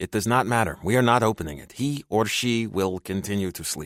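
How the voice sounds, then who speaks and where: Using a put-on character voice, a man speaks at a fairly quick pace in a fairly low pitch on a very clean recording with a silent background. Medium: read story. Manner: formal, no contractions.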